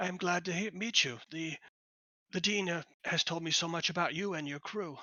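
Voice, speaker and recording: A man puts on a raspy, high-pitched character voice, speaking at a moderate pace with fairly even intonation. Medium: actual play. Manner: halting, absent-minded.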